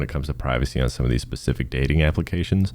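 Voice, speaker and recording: A man talks at a very fast pace with a very deep, low pitch. His tone is dark and mellow, with vocal fry. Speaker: student presenter. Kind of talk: class project presentation. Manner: monotone.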